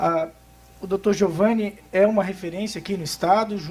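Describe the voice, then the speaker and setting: A man in a Florianópolis accent, high-pitched, fairly quick and fairly even in intonation, amid noticeable background noise. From Florianópolis, southern Brazil. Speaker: tax lawyer. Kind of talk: conference talk. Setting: workshop with audience. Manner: fast; hesitant, many fillers.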